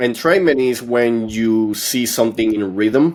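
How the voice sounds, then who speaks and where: Speaking at a fairly slow pace with a non-native accent, a man keeps a medium pitch. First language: not English. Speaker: podcast host and author. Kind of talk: podcast conversation.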